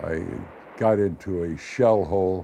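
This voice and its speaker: Very deep and low, a man's voice carries fairly even intonation. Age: 80s+. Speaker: war veteran. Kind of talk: testimony.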